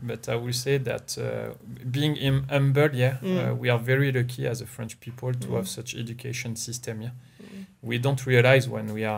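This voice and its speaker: A man talks in a somewhat breathy voice at a middling speed, his intonation fairly flat and even. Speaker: interview guest. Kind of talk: interview answer. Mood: relaxed, smiling. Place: home room. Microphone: studio mic.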